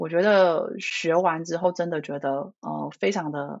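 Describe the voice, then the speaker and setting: With ordinary pitch variation, a woman speaks in a plain, everyday voice that sits fairly low in pitch. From Taiwan. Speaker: leadership coach. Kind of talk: interview.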